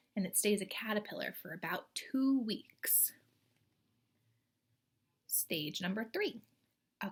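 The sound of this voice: A woman of medium pitch with a slightly husky edge speaks at a fairly slow pace, with lively intonation and long, frequent pauses.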